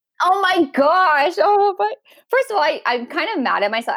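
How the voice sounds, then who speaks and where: A woman with an American accent speaks at a moderate pace, her pitch swinging very widely. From Washington State, US Pacific Northwest. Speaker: podcast guest sharing embryo adoption story. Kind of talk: casual interview chat.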